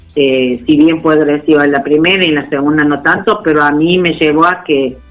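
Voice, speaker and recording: A woman's very deep, low voice, fairly even in intonation and very even in loudness, with music in the background. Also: moderate pace. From Argentina, Córdoba. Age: 60s. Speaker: cancer survivor. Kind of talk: interview testimony. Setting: phone call. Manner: halting.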